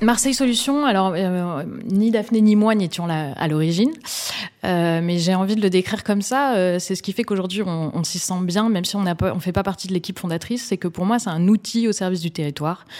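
At a fairly quick pace, a woman speaks in a normal speaking voice of medium pitch with ordinary pitch variation. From Bordeaux, France. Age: 30s. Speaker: social entrepreneur. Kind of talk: interview. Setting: office.

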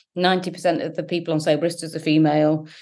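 A woman with an English accent speaks at a fairly low pitch in a monotone, flat intonation. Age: 40s. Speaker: founder of a sobriety support website. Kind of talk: interview.

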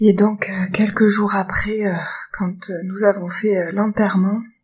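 A woman's somewhat breathy, medium-pitched voice, monotone and flat, at a very slow pace. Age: 30s. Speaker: bereaved mother sharing her story. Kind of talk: personal testimony. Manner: hesitant with frequent fillers.

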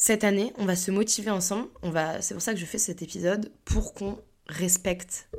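A woman with a plain, everyday voice, medium pitch, moderate pace and fairly even intonation. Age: 20s. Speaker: podcast host, business school student. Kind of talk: casual solo monologue.

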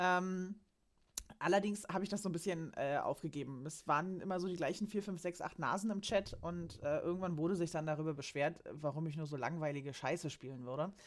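A woman speaks at a fairly quick pace in a normal speaking voice, her pitch fairly low with ordinary variation. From Saxony-Anhalt, Germany. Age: 30s. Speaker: financial accountant. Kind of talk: casual chat.

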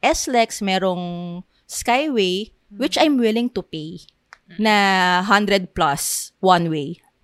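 A woman's very slow, lively-intoned speech in a very clean recording with a silent background. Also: dry, close sound with no echo. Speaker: podcast co-host. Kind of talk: casual chat.

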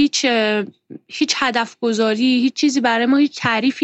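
At a fairly quick pace, a woman talks in an ordinary speaking voice pitched fairly high. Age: 30s. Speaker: art teacher. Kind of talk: casual interview.

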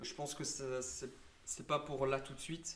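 In a room with audible echo, a man speaks at a medium pitch in a monotone with flat intonation. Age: 20s. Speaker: digital marketing agency founder. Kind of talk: casual interview.

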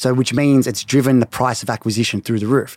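On a very clean, dry, close recording with no echo and a silent background, a man with an Australian accent speaks at medium pitch, at a fairly quick pace, with fairly even intonation. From Melbourne, Australia. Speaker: beauty brand co-founder. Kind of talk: casual interview.

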